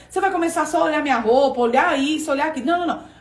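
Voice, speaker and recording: The voice has an animated tone and ordinary pitch variation, heard with noticeable background noise and audible room echo. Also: woman. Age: 40s. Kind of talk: online class livestream.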